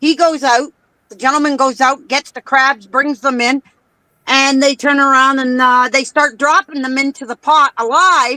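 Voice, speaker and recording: A woman with a Canadian accent speaks in a raised, projected voice at a moderate pace. Her high pitch and bright, sharp tone carry fairly even intonation, and the sound is dry and close with no echo. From Canada. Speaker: participant in a live-stream chat. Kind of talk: casual chat. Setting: live stream.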